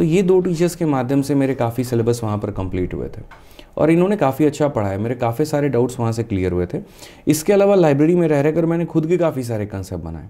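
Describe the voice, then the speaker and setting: This man's voice is fairly high in pitch, with a dark, mellow tone. He moves at a fairly quick pace, and his pitch swings very wide. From Bihar, West Champaran (Bettiah); Bihar. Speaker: maths teacher; teacher as podcast guest. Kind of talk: interview. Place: studio. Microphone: studio mic.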